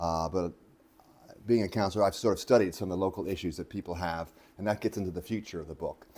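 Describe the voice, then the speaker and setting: A man's very deep, low voice with a dark, mellow tone and an American accent, delivered at a very fast pace. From United States. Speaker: author and photographer giving a book talk. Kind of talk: public talk to local audience. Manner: casual, conversational with fillers.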